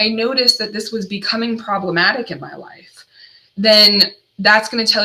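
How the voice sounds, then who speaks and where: A woman's voice over noticeable background noise. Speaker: addiction recovery counselor. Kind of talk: solo livestream talk. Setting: livestream.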